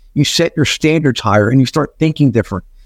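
Talking at a very fast pace, a man with a fairly high pitch and ordinary pitch variation comes through dry and close with no echo on a very clean recording against a silent background. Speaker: business executive and author. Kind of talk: interview.

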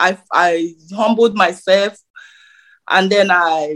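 In a Nigerian accent, a woman speaks at a very slow pace and medium pitch, with fairly even intonation and long, frequent pauses. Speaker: nurse. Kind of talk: interview. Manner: hesitant, filler words.

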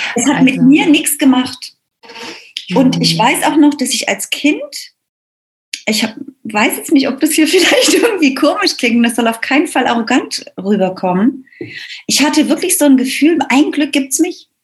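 Speaking at a moderate pace, a woman uses a high pitch and lively intonation. Long, frequent pauses break up her speech. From East Germany. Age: 50s. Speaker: business mentor. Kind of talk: interview.

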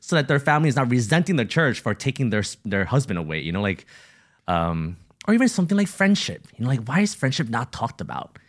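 Speaking at a very fast pace, a man at medium pitch makes very wide pitch swings and uses vocal fry, on a very clean recording with a silent background. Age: 40s. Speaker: ministry entrepreneur and podcast co-host. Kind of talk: casual chat.

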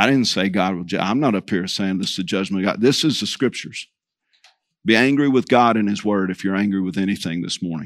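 A man with a Texan accent talks at a fairly quick pace with ordinary pitch variation. The recording is very clean, with a silent background. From Texas Panhandle. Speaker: preacher. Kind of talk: sermon.

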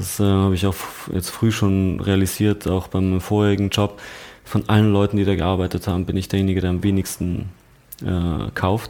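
At a moderate pace, a man speaks in a flat monotone, his very deep, low voice dark and mellow in tone. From Austria, Tyrol. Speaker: fashion creative director and buyer. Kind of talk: casual interview chat. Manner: hesitant, many fillers.

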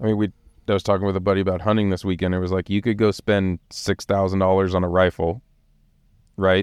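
A man with a very deep, low voice talks very fast in a monotone, flat intonation. The sound is dry and close with no echo, over a quiet background. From Los Angeles, US West Coast. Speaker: marketing lead at overland company. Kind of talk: casual chat. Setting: studio.

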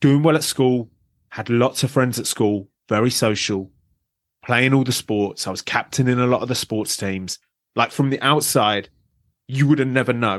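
Against a quiet background, a man with a British accent speaks at medium pitch and a moderate pace. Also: ordinary pitch variation. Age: 30s. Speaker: abuse survivor and advocate. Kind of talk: interview.

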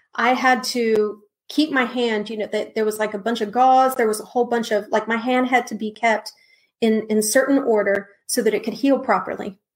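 A woman with an American accent speaks in an unremarkable speaking voice, fairly high in pitch, at a moderate pace with fairly even intonation. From Texas, San Antonio. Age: 40s. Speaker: minister. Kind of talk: testimony.

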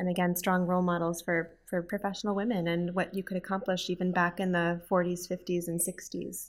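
Very clean recording, silent background. A woman with an Upper Midwest accent speaks monotone and flat at a fairly low pitch. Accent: Upper Midwest American. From Minnesota, US (Twin Cities). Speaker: grants and scholarships director. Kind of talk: interview.

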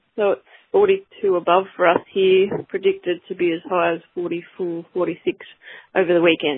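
Speaking in an Australian accent, a woman with a fairly low pitch talks at a fairly slow pace with monotone, flat intonation. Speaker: cattle breeder. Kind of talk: interview.

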